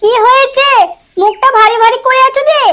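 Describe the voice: A woman puts on a cartoonish character voice, squeaky and extremely high in pitch. Her intonation stays fairly even at a moderate pace.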